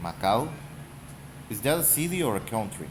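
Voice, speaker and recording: With audible room echo, a man speaks at a fairly slow pace, his pitch swinging very widely. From Mexico. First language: Spanish. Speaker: gaming YouTuber. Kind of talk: casual rant. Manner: halting.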